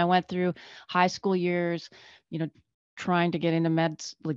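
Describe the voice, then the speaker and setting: An unremarkable speaking voice from a woman, fairly low in pitch and fairly quick, over a quiet background. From Northern Canada. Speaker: physician. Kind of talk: casual interview chat.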